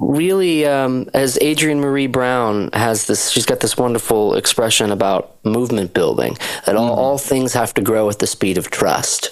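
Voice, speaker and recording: A man talks with very even loudness and hardly any pauses. Noticeable background noise sits behind him. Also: medium pitch for a man, ordinary pitch variation, moderate pace. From Western Massachusetts, US. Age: 30s. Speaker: singer-songwriter and producer. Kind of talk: interview.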